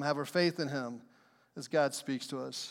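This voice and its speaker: A man speaks at a fairly slow pace with lively intonation. The recording is very clean, with a silent background. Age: 50s. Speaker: pastor. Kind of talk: sermon. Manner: repetitive emphatic delivery.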